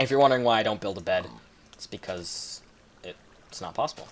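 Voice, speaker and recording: Amid noticeable background noise, a man with a Canadian accent talks with ordinary pitch variation. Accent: Canadian, noticeable on 'house'. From Canada. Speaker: gaming commentator. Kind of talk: gameplay commentary. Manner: casual, filler-heavy.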